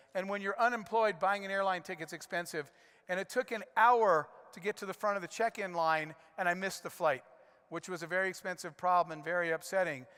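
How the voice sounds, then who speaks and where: On a very clean recording with a silent background, a man speaks very fast in a high, bright, sharp voice with ordinary pitch variation. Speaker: conference speaker, serial entrepreneur. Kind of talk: keynote speech.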